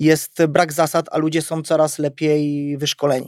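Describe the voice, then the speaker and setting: A man speaks with fairly high pitch and a monotone, flat intonation. The recording is very clean, with a silent background. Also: dry, close sound with no echo. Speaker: self-defence instructor. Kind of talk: casual chat.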